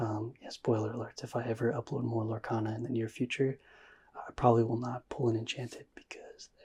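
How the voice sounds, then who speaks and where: The speaker is soft-spoken, with a relaxed tone and a fairly quick pace. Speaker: ASMR trading card pack-opening YouTuber. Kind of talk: ASMR pack-opening commentary. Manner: soft-spoken, relaxed.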